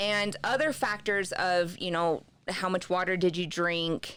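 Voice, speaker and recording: At a very slow pace, a woman with a slight Southern US accent speaks on a very clean recording with a silent background. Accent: slight Southern accent, stronger when relaxed. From US East and South, military family. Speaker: wellness journal creator. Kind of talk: podcast interview.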